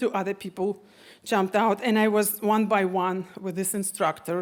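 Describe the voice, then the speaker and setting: In a very clean recording with a silent background, a woman with a Russian accent speaks at a moderate pace and medium pitch, her intonation monotone and flat. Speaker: storyteller. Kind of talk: live storytelling on stage.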